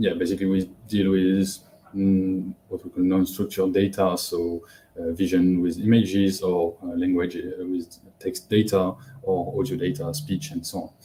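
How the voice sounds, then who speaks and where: His voice is very deep and low with a dark, mellow tone, somewhat breathy, as this man speaks at a moderate pace with ordinary pitch variation. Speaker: data science instructor. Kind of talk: live webinar tutorial. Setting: livestream with YouTube chat. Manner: hesitant, many fillers.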